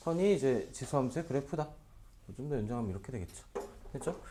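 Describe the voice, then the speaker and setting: Amid audible room echo, a man races along at a very fast pace in a fairly high, dark, mellow voice with very wide pitch swings. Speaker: math tutor. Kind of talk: lecture.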